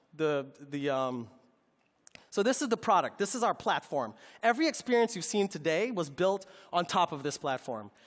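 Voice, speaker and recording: Heard on a very clean recording with a silent background, a man with a high pitch makes very wide pitch swings. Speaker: tech company presenter. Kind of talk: product presentation. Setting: stage with audience. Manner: fast; halting, many fillers.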